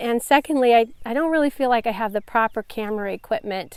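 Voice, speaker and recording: At a moderate pace, a woman with a fairly high voice speaks on a very clean recording with a silent background. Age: 60s. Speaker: home gardening vlogger. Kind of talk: casual vlog talk to camera. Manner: hesitant with fillers and restarts.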